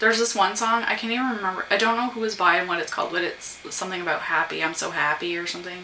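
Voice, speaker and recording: A soft-spoken woman talks at a very fast pace with ordinary pitch variation. Noticeable background noise and audible room echo fill the recording. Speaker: vlogger. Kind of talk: casual chat. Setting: at home.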